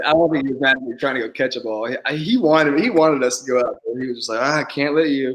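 Very fast and with hardly any pauses, a man with an American accent talks in a fairly high pitch with fairly even intonation. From Houston, Texas. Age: 20s. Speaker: professional baseball player. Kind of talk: interview.

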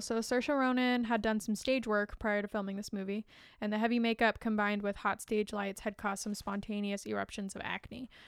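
At a fairly quick pace with hardly any pauses, a woman with fairly high pitch and fairly even intonation uses an ordinary speaking voice in a very clean recording with a silent background. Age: 20s. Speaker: movie podcast co-host. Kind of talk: casual chat.

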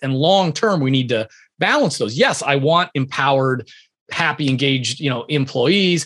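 This is an unremarkable speaking voice with ordinary pitch variation. The pace is fairly quick. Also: man. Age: 50s. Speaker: leadership author and entrepreneur. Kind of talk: interview.

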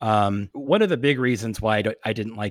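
A man at medium pitch in an ordinary speaking voice, fairly quick in pace, with a dry, close sound and no echo. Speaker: podcast host. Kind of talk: casual interview chat.

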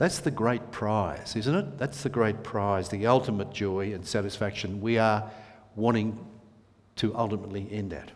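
A man with a plain, everyday voice talks at a moderate pace and a fairly low pitch, with ordinary pitch variation. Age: 60s. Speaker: preacher. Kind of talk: prayer; sermon. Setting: church.

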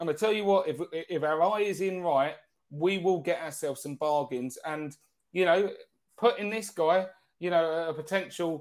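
A man's fairly high voice at a moderate pace, ordinary pitch variation, on a very clean recording with a silent background. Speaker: football podcast co-host. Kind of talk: casual chat. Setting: live stream. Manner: animated.

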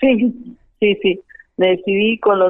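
Intonation stays fairly even. The speaker is a woman. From Argentina, Jujuy (Iruya). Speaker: wind instrument musician. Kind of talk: interview.

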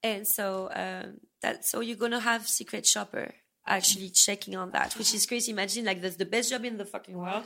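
A woman with a French accent talks at a fairly quick pace and a medium pitch. Her tone is bright and sharp, with vocal fry. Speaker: escort. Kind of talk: casual interview chat. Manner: animated, expressive storyteller.

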